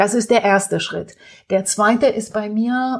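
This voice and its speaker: Here a woman speaks at a medium pitch. Her voice is somewhat breathy, with fairly even intonation. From Romania. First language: Romanian (speaking German). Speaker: entrepreneur. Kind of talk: interview. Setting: at home.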